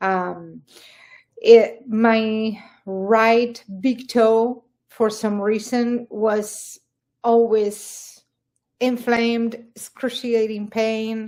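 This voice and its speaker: A woman with an Argentine accent speaks at a very slow pace in a flat, monotone way. Her pitch is fairly high, and the recording is very clean with a silent background. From Argentina. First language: Spanish. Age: 60s. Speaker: carnivore diet success story guest. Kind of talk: interview testimony. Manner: halting.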